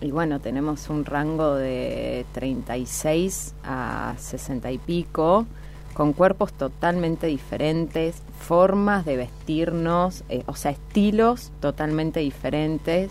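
A woman talks at a very slow pace while noticeable background noise runs underneath. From Santa Fe province, Argentina. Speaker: fashion designer and entrepreneur. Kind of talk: interview.

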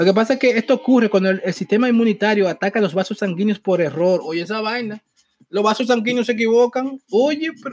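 Talking very fast with a Dominican accent, the speaker shows ordinary pitch variation in a dry, close sound with no echo. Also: man. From Dominican Republic. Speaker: podcast host. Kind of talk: casual commentary. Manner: animated; halting.

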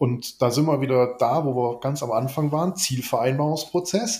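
A man with a fairly high pitch and a somewhat breathy voice talks at a fairly slow pace, his intonation lively. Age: 50s. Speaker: business coach. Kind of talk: casual business discussion. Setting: video call.

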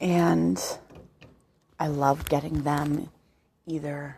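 A soft-spoken woman with a very deep, low pitch speaks at a very slow pace. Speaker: podcaster and writer. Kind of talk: casual monologue. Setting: at home.

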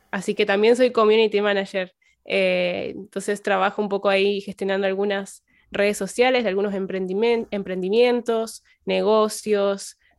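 On a very clean recording with a silent background, a woman talks at a fairly slow pace with a medium pitch and monotone, flat intonation. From Argentina, Santa Fe province. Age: young. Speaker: religion teacher and community manager. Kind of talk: podcast interview. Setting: at home.

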